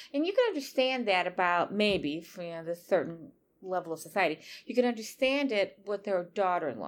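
With lively intonation, a woman talks fairly quickly at a medium pitch. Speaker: podcast co-host, writer. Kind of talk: casual chat. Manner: loud when excited.

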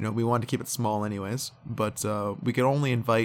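A man at medium pitch with ordinary variation, a relaxed tone and a fairly quick pace, on a very clean recording with a silent background. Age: 20s. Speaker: podcast host. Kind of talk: casual solo monologue. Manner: relaxed, frequent fillers and laughs.

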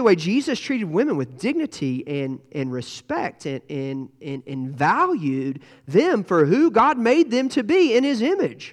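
Pitched high for a man, this voice has very wide pitch swings. He speaks at a fairly slow pace. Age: 40s. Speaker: pastor. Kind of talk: sermon. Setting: church.

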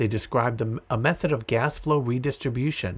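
On a very clean recording with a silent background, a somewhat breathy man with an American accent speaks at medium pitch and a moderate pace with ordinary pitch variation. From Massachusetts (Andover). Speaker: podcast host. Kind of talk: reading aloud.

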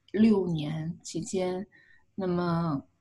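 A woman's medium-pitched voice, dark and mellow, somewhat breathy. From China. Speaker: clinical psychologist. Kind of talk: interview. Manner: hesitant fillers.

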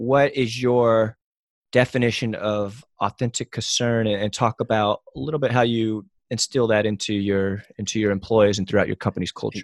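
In a dry, close recording with no echo, a man talks at medium pitch with fairly even intonation. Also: moderate pace. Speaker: podcast host. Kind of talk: casual interview. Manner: monotone in real life.

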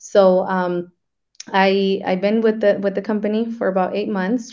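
A woman in an American accent, an unremarkable speaking voice, medium-pitched, fairly even in intonation and moderate in pace. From Arizona. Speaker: business developer. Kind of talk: webinar talk.

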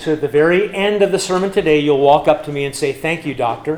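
A fairly high-pitched man in an American accent at a fairly quick pace, with ordinary pitch variation, noticeable background noise and audible room echo. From US West, California and Nebraska. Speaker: pastor. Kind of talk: sermon. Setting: church.

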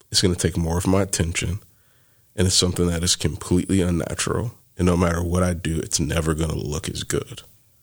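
A very deep, low male voice at a very fast pace with fairly even intonation. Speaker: church planter. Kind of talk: casual chat.

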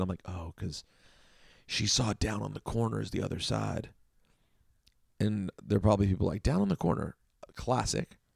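An American accent is present, with ordinary pitch variation. The audio is very clean over a silent background. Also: man. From DC area (Chevy Chase, Maryland). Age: 30s. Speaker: radio host and record collector. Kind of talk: casual solo podcast about records.

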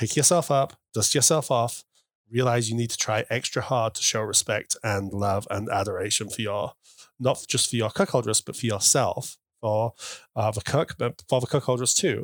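A man with a British accent on a very clean recording with a silent background. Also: medium pitch for a man, ordinary pitch variation, moderate pace, dry, close sound with no echo. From UK. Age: 40s. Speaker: guest in cuckold marriage. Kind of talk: interview. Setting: in person.

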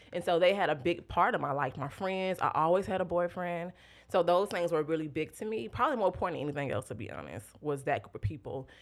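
With an American accent, a woman talks very fast in a fairly low pitch, her intonation lively and touched with vocal fry, on a very clean recording with a silent background. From US South, Tallahassee, Florida. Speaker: churchgoer sharing testimony, social worker. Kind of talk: testimony.

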